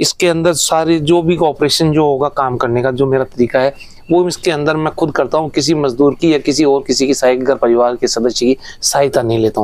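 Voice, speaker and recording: A man speaks at a moderate pace with a fairly high pitch. His intonation is fairly even and his loudness stays very even. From Rajasthan, Jaipur district. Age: 60s. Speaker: farmer. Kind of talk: interview. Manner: halting.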